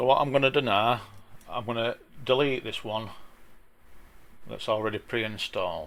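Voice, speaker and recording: A man with a strong Yorkshire accent at a medium pitch and moderate pace, fairly even in intonation, with long, frequent pauses. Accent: broad Yorkshire. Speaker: traffic management CAD plan drafter, YouTuber. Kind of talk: software tutorial. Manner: casual, with frequent hesitations. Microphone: sound issues.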